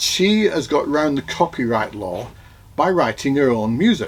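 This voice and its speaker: A man's fairly high voice with a Manchester accent. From northern England, Oldham, Manchester. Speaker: vlogger. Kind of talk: casual chat. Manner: halting.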